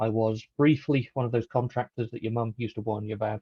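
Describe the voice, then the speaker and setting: With a British accent, a man speaks at a fairly quick pace. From UK. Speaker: software developer, conference speaker. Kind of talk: technical talk.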